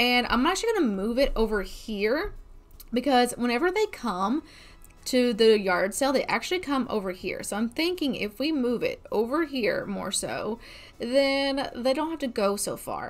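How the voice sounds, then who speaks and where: Her voice high in pitch, a woman speaks at a moderate pace with lively intonation. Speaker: gamer streamer. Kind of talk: casual gameplay commentary. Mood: mildly frustrated, playful.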